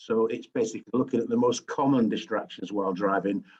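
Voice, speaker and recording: A medium-pitched man's voice in a Yorkshire accent, with fairly even intonation. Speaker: driving safety expert. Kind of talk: webinar presentation. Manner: hesitant, many fillers.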